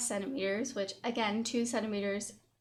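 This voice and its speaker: A woman talks at an even, middling speed, and the room's echo can be heard around her. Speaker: fitness vlogger. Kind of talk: vlog update. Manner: hesitant with many fillers.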